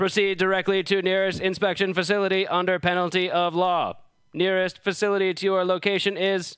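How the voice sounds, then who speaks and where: A man does a put-on, robotic character voice, high-pitched and flat in monotone, at a fairly quick pace. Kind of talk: formal, officious.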